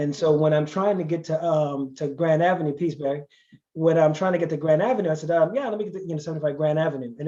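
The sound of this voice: Racing at a very fast pace, a man with a fairly high pitch speaks with ordinary pitch variation.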